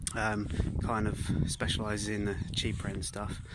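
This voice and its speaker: A man talks at a fairly slow pace. The sound is dry with no echo, but there is loud background noise. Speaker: mountain bike vlogger. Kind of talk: casual vlog chat. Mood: relaxed, friendly. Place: open country. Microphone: phone near.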